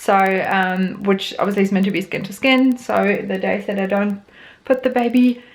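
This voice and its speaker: A woman with a New Zealand accent at a fairly quick pace, with ordinary pitch variation. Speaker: vlogger, new mother. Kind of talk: casual vlog.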